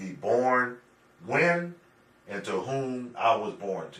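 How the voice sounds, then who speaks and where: A man talks at a medium pitch, his voice carrying audible room echo. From Pittsburgh, Pennsylvania. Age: 60s. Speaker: urban planner. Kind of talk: interview.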